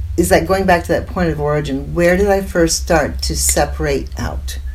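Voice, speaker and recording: Clearly audible background noise accompanies a woman speaking at a moderate pace in an American accent. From US Midwest, Indiana. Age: 70s. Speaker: spiritual teacher and psychic intuitive. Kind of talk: interview.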